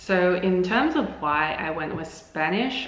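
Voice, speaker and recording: There is noticeable background noise along with audible room echo. The woman's voice sits at a medium pitch. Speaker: language-learning vlogger. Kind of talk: casual vlog talk to camera. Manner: hesitant, many fillers.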